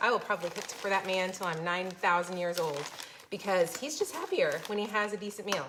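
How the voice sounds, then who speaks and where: This woman talks fairly quickly. She has an American accent. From Florida. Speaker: cooking channel host. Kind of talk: live-streamed cooking tutorial and chat with viewers. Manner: fast; animated.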